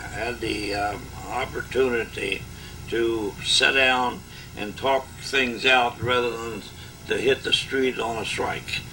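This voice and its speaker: A man's fairly slow speech, with audible room echo and noticeable background noise. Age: 80s+. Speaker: retired union leader. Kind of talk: oral history interview. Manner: halting.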